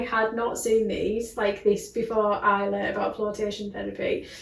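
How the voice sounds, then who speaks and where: Noticeable background noise and audible room echo accompany a woman whose voice sits fairly high. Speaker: wellness clinic co-owner and podcast co-host. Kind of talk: casual chat. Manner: fast.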